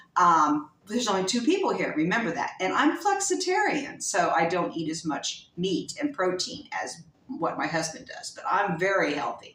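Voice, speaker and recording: Clear background noise sits under the talking. The delivery keeps a middling tempo. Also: woman. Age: 60s. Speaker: lifestyle vlogger. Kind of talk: casual chat. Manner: halting.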